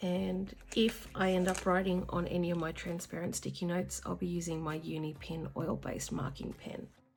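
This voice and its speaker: A woman with a fairly low pitch and fairly even intonation, at a moderate pace with hardly any pauses, over noticeable background noise. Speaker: planning vlogger. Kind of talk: casual vlog tutorial.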